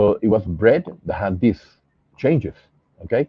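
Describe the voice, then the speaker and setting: A man speaks fairly slowly with a Spanish accent, his pitch fairly low. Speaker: pathologist, scientific investigator. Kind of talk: interview. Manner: halting, many fillers.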